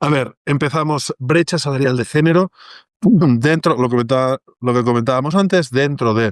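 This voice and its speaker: A man with a Catalan accent talks at a moderate pace with lively intonation. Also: dry, close sound with no echo, quiet background. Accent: Catalan Spanish accent, retained. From Catalonia, Spain. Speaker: data journalist and technologist. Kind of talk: interview conversation.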